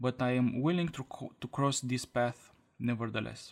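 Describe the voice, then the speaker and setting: A man with a Romanian accent at a moderate pace. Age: 20s. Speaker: podcaster. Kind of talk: scripted monologue.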